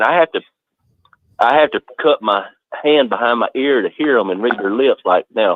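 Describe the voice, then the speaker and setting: A man with a North Georgia accent, medium pitch, at a moderate pace. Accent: North Georgia Southern. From North Georgia, US South. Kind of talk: casual chat.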